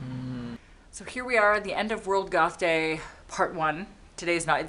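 A woman's bright, sharp tone at a fairly low pitch and a moderate pace. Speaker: goth vlogger. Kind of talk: casual vlog chat. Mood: relaxed, winding down at night. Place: home room. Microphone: phone near.

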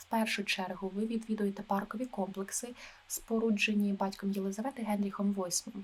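A woman speaks in a calm tone, her voice somewhat breathy. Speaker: travel agent (role-play). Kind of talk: ASMR role-play, soft-spoken talk. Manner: soft-spoken, calm.

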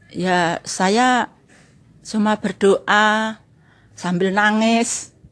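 Delivery is very slow with long, frequent pauses. The intonation stays monotone and flat. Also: woman, fairly high pitch for a woman. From Javanese community. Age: 60s. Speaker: cracker maker and customer; interviewee. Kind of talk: testimony. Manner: informal. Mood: earnest, recounting hardship. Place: home room. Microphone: handheld.

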